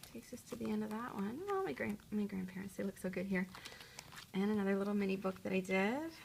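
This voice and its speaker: Noticeable noise runs in the background. Over it, a woman talks. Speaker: journaling vlogger. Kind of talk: casual show-and-tell vlog. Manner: fast; hesitant, filler words.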